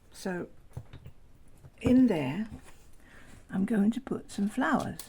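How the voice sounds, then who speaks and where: Her voice dark, mellow and somewhat breathy, a woman speaks at a very slow pace with fairly high pitch and lively intonation. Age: 70s. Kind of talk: tutorial talk to camera. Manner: chatty, enthusiastic.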